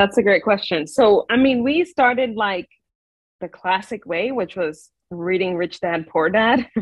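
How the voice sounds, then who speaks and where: A woman talks at a fairly slow pace with lively intonation, her voice dry with no echo against a quiet background. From New York. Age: 30s. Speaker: podcast guest, investor. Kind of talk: interview. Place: home room. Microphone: video call.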